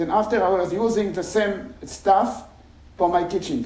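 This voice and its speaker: A man with a non-native accent speaks at a fairly slow pace, his pitch high and ordinarily varied. Audible room echo surrounds his voice. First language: not English. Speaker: engineering professor. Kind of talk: conference talk. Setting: stage with audience. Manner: halting.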